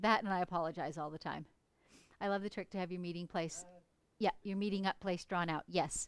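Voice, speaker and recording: A woman's normal speaking voice, fairly low in pitch, at a fairly quick pace with fairly even intonation. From Canada, northern British Columbia. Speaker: quilter. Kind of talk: live stream tutorial and chat. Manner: casual, chatty.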